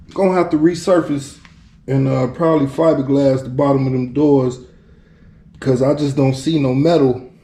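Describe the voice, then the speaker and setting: In a room with audible echo, a man with a fairly high pitch speaks in a relaxed tone with fairly even intonation and long, frequent pauses. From Chicago. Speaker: DIY car restorer vlogger. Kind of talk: casual vlog commentary. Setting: garage. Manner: halting, stuttering; relaxed, laid-back.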